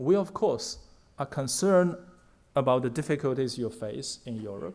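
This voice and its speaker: A man with a Chinese accent speaks at a moderate pace in a fairly high pitch, his voice swinging widely in pitch and sharply in loudness, on a very clean recording with a silent background. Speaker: diplomat. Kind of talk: formal speech. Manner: formal.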